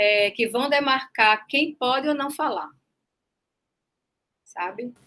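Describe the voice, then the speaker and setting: A woman with a northeastern Brazilian accent speaks in a high voice with a bright, sharp tone. Her pace is very slow, and her pitch variation is ordinary. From Brazil, Northeast (Recife). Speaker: journalism professor and author. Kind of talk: online panel discussion.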